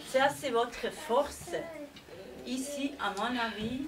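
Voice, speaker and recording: A woman with a non-native accent speaks at a high pitch. Noticeable background noise can be heard. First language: not French (speaking French). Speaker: widow or partner of the deceased, speaker at memorial. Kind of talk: memorial tribute speech. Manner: halting.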